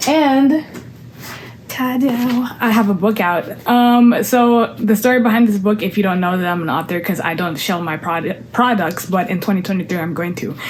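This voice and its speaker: This woman's intonation is lively and her pace moderate, with noticeable background noise behind her. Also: medium pitch for a woman. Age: 20s. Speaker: content creator and singer. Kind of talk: casual vlog chat. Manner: casual, rambling with fillers.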